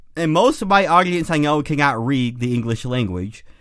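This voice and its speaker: Here a man speaks with a Midwestern accent at a fairly quick pace. His pitch is fairly high, his intonation is lively, and the recording is very clean with a silent background. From US Midwest (Great Lakes region). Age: 30s. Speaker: podcast co-host. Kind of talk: casual chat.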